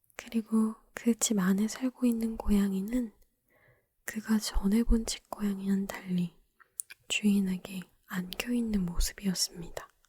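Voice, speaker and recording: A calm tone at a very slow pace. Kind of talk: ASMR bedtime story reading, talking ASMR. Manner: soft, calm, slow.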